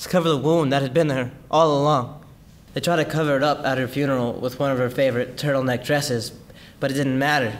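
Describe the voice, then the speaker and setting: Very fast delivery with fairly even intonation. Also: man. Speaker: actor performing monologue. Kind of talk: dramatic monologue. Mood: sorrowful, emotionally raw. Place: studio.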